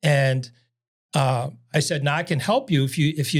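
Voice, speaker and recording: Somewhat breathy and fairly high-pitched, a man speaks in a New York accent on a very clean recording with a silent background. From New York City. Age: 70s. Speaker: salesman. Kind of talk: casual chat.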